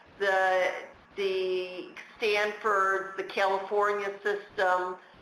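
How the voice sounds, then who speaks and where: Over noticeable background noise and audible room echo, a woman of medium pitch with an American accent speaks very slowly in a monotone, flat intonation. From United States. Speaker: patent lawyer. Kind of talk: webinar Q&A. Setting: webinar.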